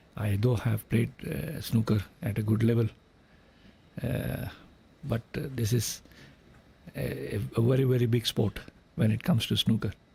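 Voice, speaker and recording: A man with medium pitch, a dark, mellow tone, and vocal fry speaks at a moderate pace with lively intonation and long, frequent pauses. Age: 60s. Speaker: snooker commentator, former billiards player. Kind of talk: live sports commentary.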